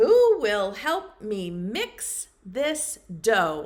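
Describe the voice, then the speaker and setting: A woman's put-on character voice, pitched fairly high. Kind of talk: preschool storytime. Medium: read story.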